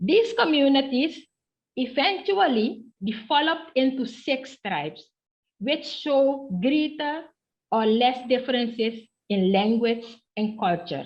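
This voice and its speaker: A woman's high-pitched voice at a very slow pace with lively intonation. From Suriname. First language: Okanisi (Ndyuka Maroon creole). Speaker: professor of history. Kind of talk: academic presentation. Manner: formal.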